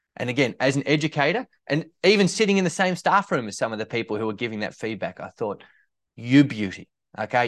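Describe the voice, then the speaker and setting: At a fairly quick pace, a man with an Australian accent and medium pitch speaks with lively intonation, in a dry, close sound with no echo against a quiet background. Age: 30s. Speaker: teacher and ed-tech founder. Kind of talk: interview conversation.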